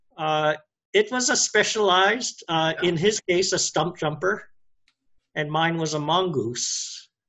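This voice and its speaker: A man speaks with a Hawaiian accent at high pitch. He goes at a fairly slow pace with ordinary pitch variation. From Hawaii (Oahu, Wahiawa). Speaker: cyclist. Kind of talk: casual interview.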